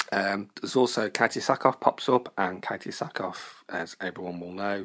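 A man with a very deep, low voice at a fairly slow pace. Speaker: listener reviewer. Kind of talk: recorded voicemail review.

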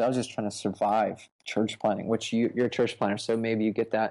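Against a quiet background, a man speaks at a moderate pace and medium pitch with a dark, mellow tone. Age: 30s. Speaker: pastor. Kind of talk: interview about preaching.

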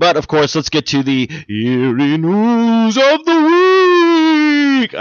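Someone speaks in a put-on character voice. The pace is very slow. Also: man, extremely high pitch for a man. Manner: dramatic, drawn-out announcer delivery.

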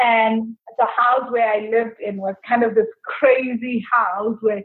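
A woman speaks at a fairly slow pace and a fairly high pitch. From South Africa. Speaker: money coach and business owner. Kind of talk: interview.

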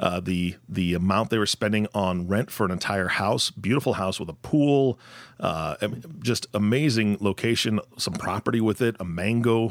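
A man's normal speaking voice, fairly low in pitch, at a moderate pace with ordinary pitch variation. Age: 40s. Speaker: podcast co-host. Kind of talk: casual chat.

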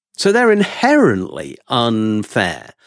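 A very clean recording of a man with an English accent, the background silent. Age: 60s. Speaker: professor and economist. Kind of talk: casual interview chat.

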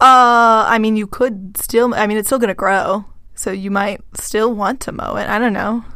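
In an American accent, a woman talks at a moderate pace with fairly high pitch. Her tone is bright and sharp, and her intonation stays fairly even. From Texas. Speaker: podcast co-host, agriculture worker. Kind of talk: casual chat.

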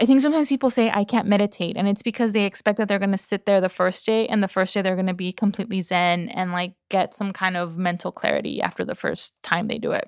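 An unremarkable speaking voice belongs to a woman with a medium pitch and ordinary pitch variation, talking at a fairly quick pace. The sound is dry and close with no echo, in a very clean recording with a silent background. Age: 30s. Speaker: podcaster and business owner. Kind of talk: casual interview chat.

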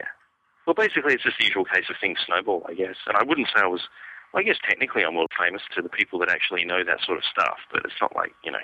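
Very fast speech from a man with an Australian accent. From Western Australia. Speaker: comic book artist and writer. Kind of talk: interview conversation.

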